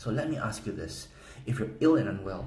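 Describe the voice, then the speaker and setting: A man's very fast speech with a Korean accent, vocal fry and audible room echo. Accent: Korean accent, somewhat. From South Korea. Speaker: gaming guide promoter. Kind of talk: sales pitch. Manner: animated.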